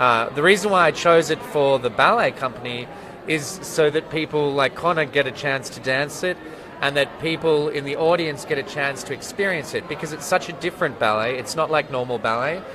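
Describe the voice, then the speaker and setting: A man with a somewhat high voice talks rather quickly, his pitch moving in a normal way. Clear background noise can be heard. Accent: Australian. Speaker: ballet choreographer and artistic director. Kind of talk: interview. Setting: opening night party.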